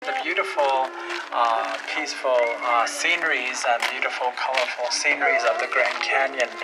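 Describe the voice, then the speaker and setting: Against noticeable background noise, a man with a Southwestern US accent speaks at a moderate pace. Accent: Navajo-accented English. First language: Navajo. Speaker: Native cultural teacher and dance performer. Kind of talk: public address to tourists. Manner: halting, many fillers.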